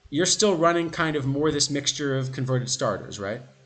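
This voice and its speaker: There is audible room echo as a man with an American accent talks at a fairly high pitch with ordinary pitch variation. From USA. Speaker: streamer discussing baseball card game. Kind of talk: casual chat. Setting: live stream. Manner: halting.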